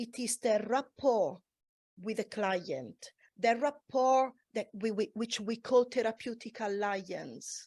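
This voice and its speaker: A woman with a non-native accent speaks at a very slow pace and a fairly high pitch, with ordinary pitch variation. The recording is very clean, with a silent background. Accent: foreign. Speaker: massage therapist. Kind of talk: panel discussion.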